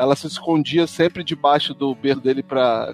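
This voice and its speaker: Music plays in the background as a man with a fairly high pitch and ordinary pitch variation speaks in a dry, close sound with no echo. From Brazil, Espírito Santo. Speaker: podcaster. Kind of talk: casual interview.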